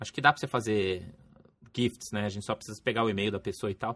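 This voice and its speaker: In a dry, close sound with no echo, a fairly low-pitched man speaks with fairly even intonation. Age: 30s. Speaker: RPG podcast host. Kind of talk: casual chat; podcast outro.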